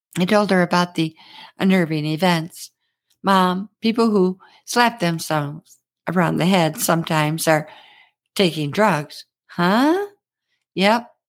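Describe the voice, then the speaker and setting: A woman's fairly low voice with ordinary pitch variation and an animated tone, at a fairly slow pace with long, frequent pauses, on a very clean recording with a silent background. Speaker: podcaster. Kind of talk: scripted storytelling monologue. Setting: home studio podcast. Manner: animated, humorous.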